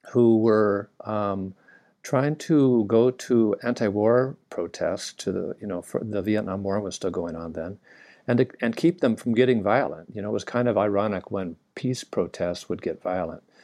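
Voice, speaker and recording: Against a quiet background, a man with a Californian accent talks at a moderate pace in a fairly low voice with a dark, mellow tone. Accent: General American (Californian). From US, Southern California. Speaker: naturopathic doctor. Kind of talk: interview.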